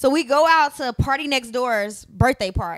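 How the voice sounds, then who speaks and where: A woman's high voice at a fairly slow pace, with ordinary pitch variation and a quiet background. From US Midwest. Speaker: reality TV personality and entertainer; podcast co-host. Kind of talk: casual chat. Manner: casual, laughs often. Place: home room. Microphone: handheld.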